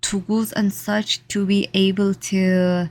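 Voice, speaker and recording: This woman's voice sits at a medium pitch. It is somewhat breathy. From Saudi Arabia. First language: Arabic. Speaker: artist. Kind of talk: casual vlog talk. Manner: halting.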